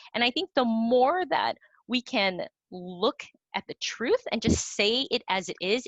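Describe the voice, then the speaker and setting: A woman's fairly high-pitched voice in an American accent. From US, Vietnamese American. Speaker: playwright. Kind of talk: panel discussion.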